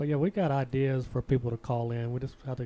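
With a Southern US accent, a man talks at a fairly quick pace and medium pitch. His tone is dark and mellow, his intonation fairly even. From US South. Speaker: podcast host. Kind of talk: casual chat. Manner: joking, casual.

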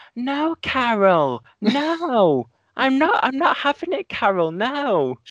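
A put-on, whiny character voice, female-sounding and high-pitched for a woman, at a very slow pace. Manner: mocking, complaining.

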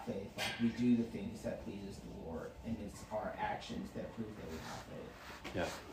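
Noticeable background noise fills the recording. A man talks at a moderate pace with hardly any pauses. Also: big swings in loudness. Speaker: bible study participant. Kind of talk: reading aloud.

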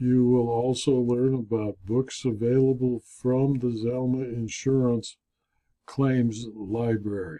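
A man speaks with monotone, flat intonation. His pace is very slow. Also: medium pitch for a man. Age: 70s. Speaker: insurance consultant and video blogger. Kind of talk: scripted narration.

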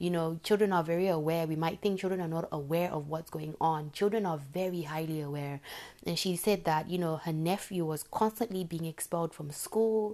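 The voice has a dark, mellow tone, a moderate pace and fairly even intonation. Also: woman. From Zimbabwe. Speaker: podcast host. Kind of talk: solo podcast monologue. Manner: conversational with frequent fillers.

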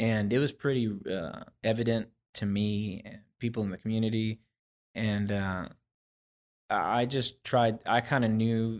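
Recorded very cleanly against a silent background, a man with an ordinary speaking voice talks in a fairly low pitch with fairly even intonation. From Houston area, Texas (with years in Oklahoma). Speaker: musician, lead guitarist. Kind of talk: casual interview chat.

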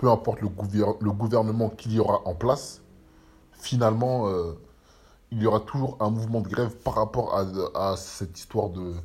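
A man with a fairly low pitch speaks somewhat breathily in fairly even intonation, leaving long, frequent pauses. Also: moderate pace. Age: 30s. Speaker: podcaster. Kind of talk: casual monologue. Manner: halting.

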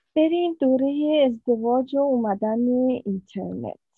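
A plain, everyday voice from a woman, with lively intonation at a fairly slow pace. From Iran, Mashhad. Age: 50s. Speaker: ultrasound technician. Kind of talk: personal life story interview.

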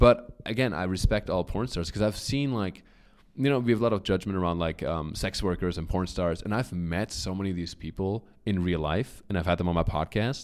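A man's animated, very deep, low voice with a German accent, at a fairly quick pace. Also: ordinary pitch variation. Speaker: comedian and model. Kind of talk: casual interview chat.

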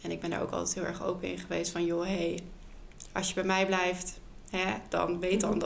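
A woman speaks at a moderate pace with audible room echo around her. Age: 20s. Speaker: photographer and former maternity nurse. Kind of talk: interview about personal experience.

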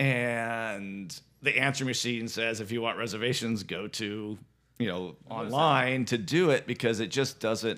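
At a fairly slow pace, a man speaks with an American accent in a bright, sharp tone. His pitch sits in the medium range with ordinary variation. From US West Coast (Santa Ynez Valley, California). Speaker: restaurant owner. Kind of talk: casual chat.

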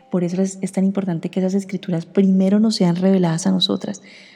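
Her pitch lands in the middle range. The woman delivers every line in a flat monotone. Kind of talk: devotional reflection.

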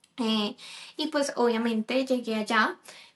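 A woman's voice with fairly even intonation and noticeable background noise. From Colombia. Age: 30s. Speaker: podcast co-host, nutrition student. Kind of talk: casual chat.

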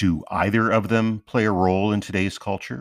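Against a silent background in a very clean recording, a man speaks at a fairly slow pace with vocal fry. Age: 50s. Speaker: podcast host. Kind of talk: scripted narration.

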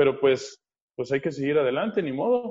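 Speaking with a Mexican accent, this man has a fairly high pitch. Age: 30s. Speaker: fitness coach and MMA fighter. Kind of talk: casual interview.

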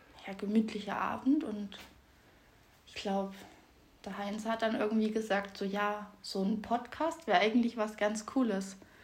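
In a room with audible echo, a woman with a fairly high pitch speaks at a moderate pace with fairly even intonation, big swings in loudness, and long, frequent pauses. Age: 20s. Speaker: podcast co-host. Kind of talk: casual chat.

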